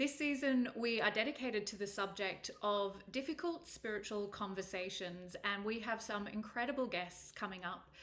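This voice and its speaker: At a moderate pace, a woman uses an ordinary speaking voice, fairly high in pitch with ordinary pitch variation. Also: hardly any pauses. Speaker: podcast host. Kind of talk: podcast interview questions.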